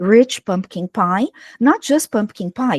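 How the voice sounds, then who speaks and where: A woman speaks with a Brazilian accent and lively intonation. The sound is dry and close, with no echo. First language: Portuguese. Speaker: English teacher. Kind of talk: online workshop presentation. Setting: livestream.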